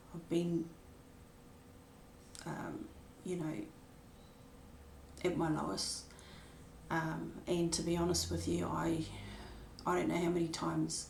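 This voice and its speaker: Her delivery is fairly slow, with long, frequent pauses. Noticeable background noise and audible room echo surround the woman. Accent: New Zealand. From New Zealand. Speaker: spiritual vlogger sharing her life story. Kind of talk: personal testimony. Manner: hesitant, many filler words.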